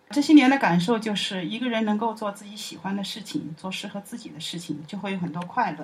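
A woman talks very fast with hardly any pauses, her medium pitch moving in lively intonation. Her loudness swings widely over noticeable background noise. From Chongqing, China. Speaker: university alumna and parent. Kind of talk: personal testimony.

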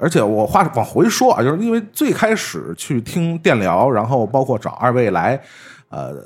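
At a moderate pace, a man speaks at a medium pitch that swings very widely. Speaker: podcast host. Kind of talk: casual chat.

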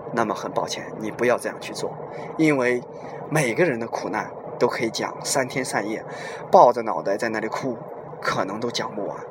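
A man's voice over noticeable background noise. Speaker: podcast host. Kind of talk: monologue talk. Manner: slower than his usual speech.

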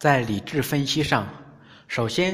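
A man speaks at a fairly high pitch that swings very widely. His voice is somewhat breathy. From rural China. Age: 30s. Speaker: podcast narrator. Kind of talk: scripted narration.

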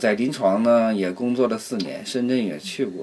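With a strong Northeastern Chinese accent, a man speaks at a moderate pace over noticeable background noise. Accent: strong Northeastern Mandarin. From Northeast China, Harbin. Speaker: community association vice president. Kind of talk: casual chat. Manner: halting, many fillers.

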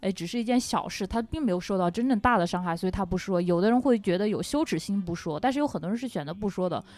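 Speech from a woman comes at a very fast pace, her pitch varying in an ordinary way. It is a very clean recording with a silent background. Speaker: podcast co-host. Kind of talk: casual chat.

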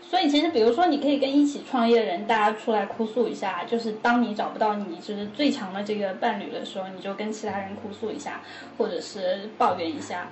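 Lively intonation at a fairly quick clip, hardly any pauses, with noticeable background noise and audible room echo. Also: woman, fairly high pitch for a woman. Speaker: psychology PhD student and counselor. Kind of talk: casual chat.

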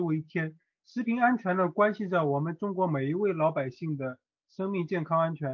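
Here a man speaks with a high voice. Ordinary pitch variation shapes what he says. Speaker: exam candidate student. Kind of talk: mock interview answer. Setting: online voice chat.

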